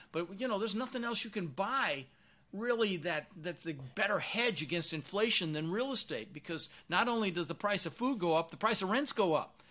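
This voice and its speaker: A man speaks at a fairly quick pace in a high, bright, sharp voice, raised and projected, with lively intonation. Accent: American. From Colorado. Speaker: real estate investor. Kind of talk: interview. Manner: animated.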